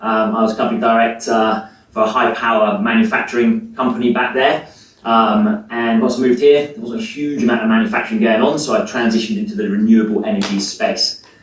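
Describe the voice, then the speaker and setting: A man with an English accent talks at a very fast pace. Noticeable background noise is present. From England. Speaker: sustainability manager. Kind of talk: presentation.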